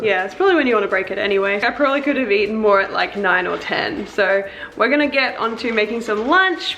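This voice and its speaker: A woman with a strong Australian accent talks at a fairly quick pace with lively intonation. Audible room echo and noticeable background noise are present. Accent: broad Australian. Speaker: lifestyle vlogger. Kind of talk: casual vlog chat.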